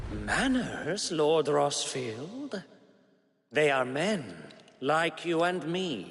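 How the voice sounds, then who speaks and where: In a put-on character voice, a man talks at a very slow pace with a fairly high pitch. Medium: video game. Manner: mocking, courtly.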